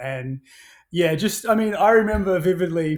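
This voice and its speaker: A man with an Australian accent, in a very clean recording with a silent background. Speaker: action sports brand founder. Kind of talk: podcast interview. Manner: hesitant, many fillers.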